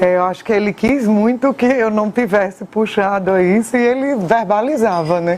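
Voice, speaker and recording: Using an ordinary speaking voice, a woman talks at a moderate pace with hardly any pauses, her pitch fairly high, with ordinary pitch variation and very even loudness. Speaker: journalist, daughter of honoree. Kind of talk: interview testimony.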